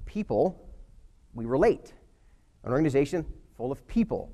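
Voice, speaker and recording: A man with a fairly high-pitched voice. His tone is dark and mellow. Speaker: motivational speaker. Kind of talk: motivational talk. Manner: fast; energetic.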